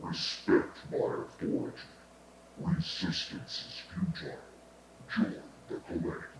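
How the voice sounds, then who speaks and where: A man's put-on, robotic character voice with a menacing tone, moderate pace, and long, frequent pauses, amid clear echo and clear background noise. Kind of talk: scripted robotic announcement. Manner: commanding, menacing.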